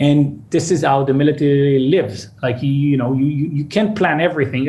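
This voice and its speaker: A man with a fairly high pitch talks at a very fast pace. Noticeable background noise and audible room echo surround him. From Israel, suburb of Tel Aviv. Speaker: startup CEO. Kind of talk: interview.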